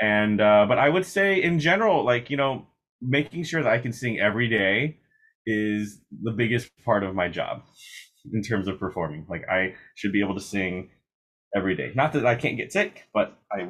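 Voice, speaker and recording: Lively intonation from a man at a moderate pace. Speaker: opera singer; interviewee. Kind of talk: interview. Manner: conversational with frequent fillers. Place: home room. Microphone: video call.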